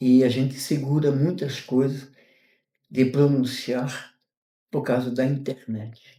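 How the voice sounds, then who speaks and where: Very slow and monotone with flat intonation, a man speaks at medium pitch in a dark, mellow, somewhat breathy tone, leaving long, frequent pauses. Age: 60s. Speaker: retired mail carrier. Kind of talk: interview. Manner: halting.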